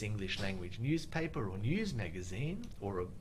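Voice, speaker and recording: Over audible room echo, a man with an Australian accent talks at a moderate pace, his pitch swinging very widely. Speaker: IELTS teacher. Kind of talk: live Q&A webinar. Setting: Facebook live stream.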